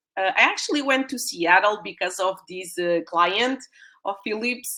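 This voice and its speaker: The speaker has a Portuguese accent and a fairly slow pace. Pitch variation is ordinary. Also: woman. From Portugal. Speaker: UX designer and mentor. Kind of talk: webinar presentation. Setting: live online stream. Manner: hesitant, many fillers.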